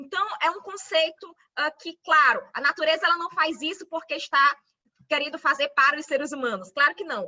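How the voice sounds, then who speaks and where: A woman's high voice at a moderate pace, with ordinary pitch variation and big swings in loudness. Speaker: law lecturer. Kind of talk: online lecture.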